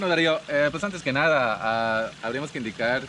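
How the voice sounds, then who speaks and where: A man speaks with a Chiapas accent. Noticeable background noise is present. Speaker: tour guide. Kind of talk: interview. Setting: outdoor cabins venue in Palenque.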